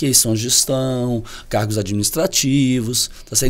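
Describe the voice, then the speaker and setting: A man speaks with a Goiás accent. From Brazil, Goiás. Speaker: professor. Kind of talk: podcast discussion.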